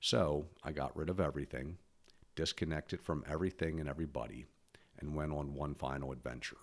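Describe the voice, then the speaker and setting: A man's very deep, low voice with vocal fry, fairly even intonation and a fairly quick pace. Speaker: podcaster and author. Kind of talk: personal monologue.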